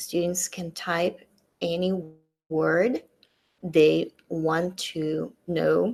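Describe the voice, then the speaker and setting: A woman with a Russian accent talks at a very slow pace. Her speech is broken by long, frequent pauses. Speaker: teacher. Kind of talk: tutorial.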